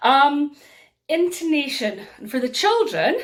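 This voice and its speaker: A woman with an Aberdeen accent. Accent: Aberdeen Scottish (Doric). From Scotland, Aberdeen (northeast). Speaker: storyteller. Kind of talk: workshop tutorial. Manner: animated.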